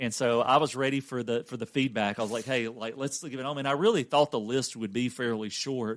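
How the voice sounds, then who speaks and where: A man with an American accent at medium pitch, fairly quick pace and fairly even intonation, on a very clean recording with a silent background. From Louisiana. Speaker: podcast host and coach. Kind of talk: casual podcast conversation.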